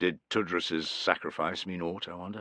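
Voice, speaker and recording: Using a put-on character voice, a man sounds gruff at a very deep, low pitch, with monotone, flat intonation and a moderate pace. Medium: read story. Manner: matter-of-fact, gruff.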